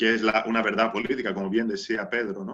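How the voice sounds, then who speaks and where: A man with a non-native accent talks in a bright, sharp tone. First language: not Spanish (speaking Spanish). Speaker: anthropologist. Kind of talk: panel discussion. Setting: video call. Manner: halting, many fillers and repetitions.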